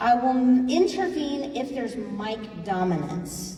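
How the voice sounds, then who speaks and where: A loud woman's voice, high-pitched with very wide pitch swings, in audible room echo and noticeable background noise. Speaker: forum facilitator. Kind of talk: public forum moderation.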